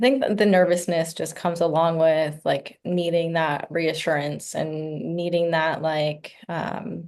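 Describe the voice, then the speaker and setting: A woman's plain, everyday voice, fairly low in pitch, with fairly even intonation and a fairly slow pace over a quiet background. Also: hardly any pauses. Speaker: client in a role-play. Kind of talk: mock therapy interview answers.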